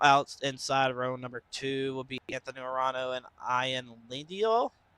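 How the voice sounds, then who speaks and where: Fairly even intonation in a bright, sharp tone, with a dry, close sound and no echo. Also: man, medium pitch for a man. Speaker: sim racing commentator. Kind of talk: live commentary. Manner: fast.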